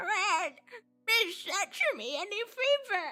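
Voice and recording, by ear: A female-sounding voice, put-on and extremely high in pitch, speaks at a fairly slow pace with music in the background.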